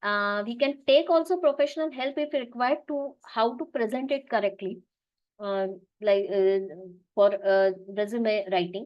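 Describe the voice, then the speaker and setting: At a moderate pace, a woman with a fairly high pitch talks with lively intonation. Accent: Marathi. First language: Marathi. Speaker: business analyst, webinar speaker. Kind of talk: webinar talk. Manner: halting, many fillers and restarts.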